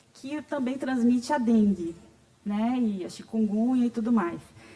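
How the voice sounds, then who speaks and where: A high-pitched woman talks fairly slowly while noticeable background noise plays. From Bahia, Brazil. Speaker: patient advocate, speaker. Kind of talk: conference talk. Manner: conversational.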